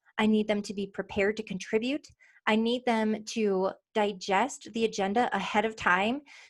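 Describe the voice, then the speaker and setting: On a very clean recording with a silent background, a woman with a fairly high pitch speaks in an animated tone. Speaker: sales consultancy founder and CEO. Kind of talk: interview. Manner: fast.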